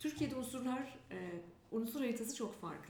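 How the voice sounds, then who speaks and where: A woman's fairly quick speech with ordinary pitch variation and audible room echo. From Turkey, Ankara. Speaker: employer branding consultant. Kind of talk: interview.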